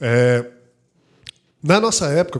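Intonation is lively in this man's fairly high voice. He keeps to a fairly slow pace. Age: 30s. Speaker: insurance franchise CEO and podcast co-host. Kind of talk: casual chat.

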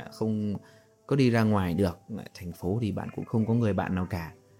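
Music plays in the background as a man speaks in a calm tone at a fairly slow pace. His pitch is fairly low, with ordinary variation. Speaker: podcast host and storyteller. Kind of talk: story narration with commentary. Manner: slow, calm.

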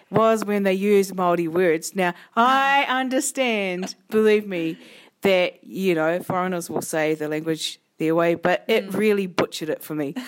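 Lively intonation carries a New Zealand accent. The pace is fairly slow. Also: woman, medium pitch for a woman. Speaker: podcast co-host. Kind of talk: casual chat.

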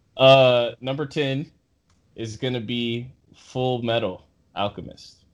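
With a playful tone and medium pitch, a man speaks at a very slow pace with fairly even intonation and long, frequent pauses. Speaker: podcast host. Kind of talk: casual chat. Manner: joking, playful.

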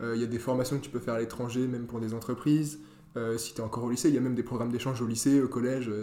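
Amid noticeable background noise, a man talks at a very fast pace in monotone, flat intonation. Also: medium pitch for a man. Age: 20s. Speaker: engineering student. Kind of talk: interview. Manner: hesitant, many fillers.

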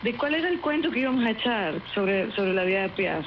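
A woman speaks with a fairly high pitch and lively intonation. Noticeable background noise is present. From Venezuela. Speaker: actress and singer. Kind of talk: interview.

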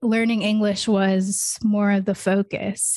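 A woman with a General American accent speaks at a very slow pace and medium pitch. Her intonation stays monotone and flat against a quiet background. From US. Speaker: podcast host. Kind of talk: casual chat.

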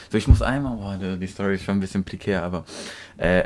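A man with a plain, everyday voice speaks with fairly even intonation on a very clean recording with a silent background. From Turkey. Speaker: podcast co-host. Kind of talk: casual chat.

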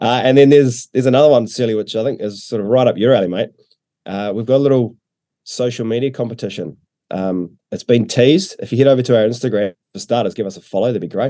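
The tone is dark and mellow. Words come at a very fast pace. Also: man, medium pitch for a man, ordinary pitch variation. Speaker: betting company rep. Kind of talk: casual chat. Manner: relaxed, chatty, with filler words.

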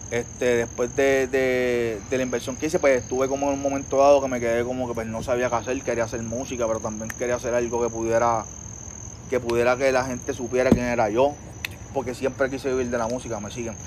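A man's medium-pitched voice at a very fast pace, monotone and flat in intonation. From Puerto Rico, Trujillo Alto. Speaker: photographer. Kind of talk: casual interview chat. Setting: outdoor patio at home. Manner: halting, many fillers.

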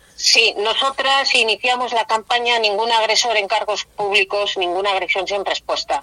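With a dry, close sound and no echo, a woman talks at a moderate pace and a fairly high pitch with ordinary pitch variation over noticeable background noise. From Spain, Valladolid. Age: 50s. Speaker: feminist activist. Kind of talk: interview.

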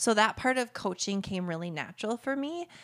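Her pitch is medium. This speaker is a woman. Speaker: entrepreneur and business coach. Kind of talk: interview. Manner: fast talker.

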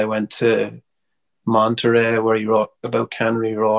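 A man with an Irish accent, fairly low-pitched and monotone with flat intonation, at a fairly slow pace, in a dry, close sound with no echo. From Ireland, Wexford. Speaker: singer-songwriter. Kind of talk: casual interview chat.

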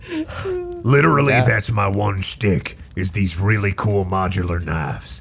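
A man puts on a gruff character voice with a fairly low pitch. He keeps a moderate pace with hardly any pauses over light background noise. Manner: folksy, upselling salesman patter.

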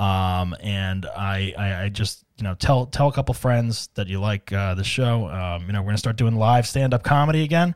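Recorded very cleanly with a silent background, a man with an unremarkable speaking voice talks at a moderate pace and a fairly low pitch, with ordinary pitch variation and hardly any pauses. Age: 40s. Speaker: comedian and podcast host. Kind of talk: solo comedic monologue. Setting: studio. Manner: casual with frequent fillers and repetitions.

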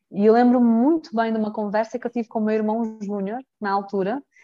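A fairly high-pitched woman at a moderate pace. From Mozambique, Brazilian family. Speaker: brand manager and company director. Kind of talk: casual interview chat. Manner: animated.

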